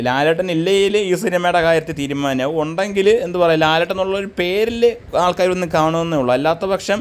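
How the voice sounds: Here a man speaks at a fairly quick pace. His pitch variation is ordinary.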